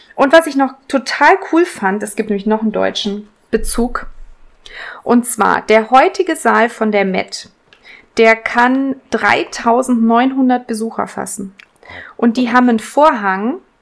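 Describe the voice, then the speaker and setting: Speaking at a very slow pace, a woman keeps a fairly high pitch with ordinary pitch variation. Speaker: podcast co-host. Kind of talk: casual chat.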